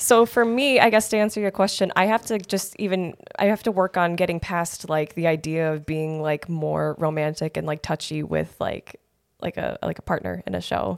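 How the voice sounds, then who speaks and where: A woman with an American accent speaks in an unremarkable speaking voice, pitched fairly low. Her pace is moderate, and the sound is dry and close with no echo. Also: ordinary pitch variation. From Wisconsin (Janesville, Kenosha). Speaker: community theater actress. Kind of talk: casual chat.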